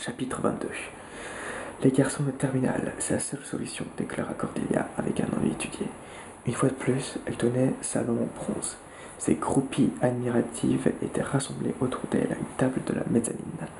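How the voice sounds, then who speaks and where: A man whispers, soft-spoken, at a moderate pace. Noticeable background noise can be heard. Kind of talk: whispered audiobook-style reading of a novel, ASMR. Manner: whispered, soft.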